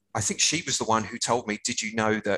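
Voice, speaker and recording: A man speaks in a fairly low voice. The background is quiet. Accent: southern English. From Hertfordshire, England. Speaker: music rights professional. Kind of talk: casual chat.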